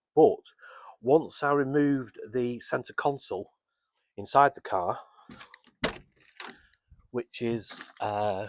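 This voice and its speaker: A man with a British accent speaks very slowly at a fairly high pitch, with long, frequent pauses and lively intonation. The sound is dry and close, with no echo. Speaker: amateur car restorer. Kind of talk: casual workshop walkaround to camera. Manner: hesitant, mumbling.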